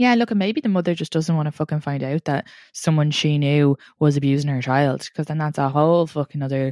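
Against a quiet background with a dry, close sound and no echo, a woman with an Irish accent talks very fast in a very deep, low, dark and mellow voice with ordinary pitch variation. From Ireland, Longford. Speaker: comedian and podcaster. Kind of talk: casual chat.

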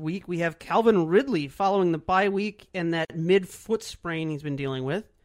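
A moderate pace with hardly any pauses, in a very clean recording with a silent background. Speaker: fantasy football podcast host. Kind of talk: casual chat about fantasy football.

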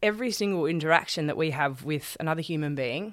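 A woman with an Australian accent talks very fast in a very deep, low voice. The recording is very clean, with a silent background. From Australia, Sydney. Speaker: charity founder and speaker. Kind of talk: interview, personal story.

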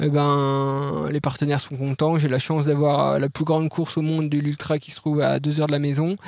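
Noticeable background noise surrounds a man with a fairly high pitch. He speaks at a fairly quick pace with hardly any pauses. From France, Jura mountains. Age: 30s. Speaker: ultra-trail runner. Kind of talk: casual interview. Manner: hesitant, many repeated words.

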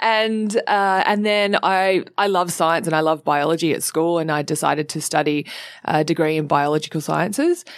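A woman talks with an Australian accent at a fairly low pitch and ordinary pitch variation. The background is quiet. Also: moderate pace. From Australia, Sydney (Cronulla). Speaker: presenter, model and climate activist. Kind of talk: casual interview chat. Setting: studio.

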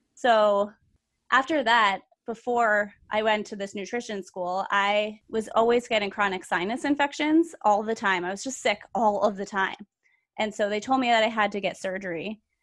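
A woman talks in a normal speaking voice, pitched fairly high, with ordinary pitch variation. The background is quiet. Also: moderate pace. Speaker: podcast co-host, health coach. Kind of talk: casual chat.

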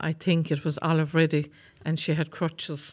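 A woman with a Waterford accent, a very deep, low pitch, monotone, flat intonation and a moderate pace, on a very clean recording with a silent background. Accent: Waterford Irish. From County Waterford, Ireland. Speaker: retired army sergeant. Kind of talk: interview.

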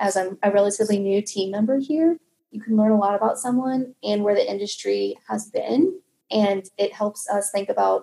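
Speaking at a fairly quick pace, a woman with an American accent uses a medium pitch, ordinary pitch variation and a dark, mellow tone. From US Midwest, Kansas City. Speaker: product manager. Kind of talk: interview.

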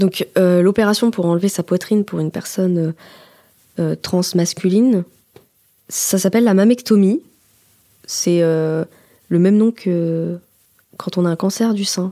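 A woman speaks in a dark, mellow tone at a fairly slow pace, with long, frequent pauses. Her intonation stays fairly even, and the sound is dry and close with no echo. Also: medium pitch for a woman. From France, Haute-Savoie. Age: 20s. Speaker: journalism student. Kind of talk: personal testimony. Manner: conversational, with hesitations.

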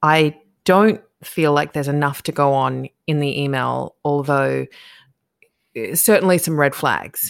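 A woman with an Australian accent speaks at a fairly slow pace in a very deep, low voice, with ordinary pitch variation and long, frequent pauses. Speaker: podcast host. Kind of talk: casual interview chat. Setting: video call, recording at night. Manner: quiet, keeping voice down.

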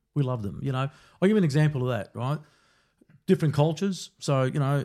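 Talking at a fairly quick pace, a man with an Australian accent has a dark, mellow tone at medium pitch with ordinary pitch variation. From Melbourne, Australia (Brunswick). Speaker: security company founder. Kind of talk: interview.

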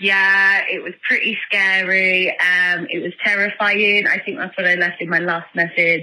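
Over noticeable background noise, a woman speaks at a fairly slow pace in a medium pitch with fairly even intonation. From northern England. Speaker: caller leaving voicemail. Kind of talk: voicemail message. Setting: phone call. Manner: hesitant, many ums.

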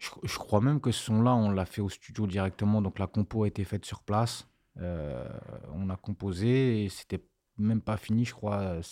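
A man with a fairly low pitch and a dark, mellow tone talks at a moderate pace with ordinary pitch variation, in a dry, close sound with no echo on a very clean recording with a silent background. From grew up abroad, 'au bled'. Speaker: music producer. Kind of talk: casual interview chat.

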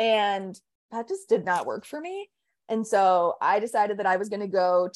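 A woman with an American accent uses an ordinary speaking voice at medium pitch with ordinary pitch variation over a quiet background. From Pittsburgh, Pennsylvania. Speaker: business strategist. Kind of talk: interview.

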